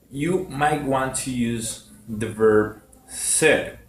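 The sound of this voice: Audible room echo surrounds a man speaking at a medium pitch.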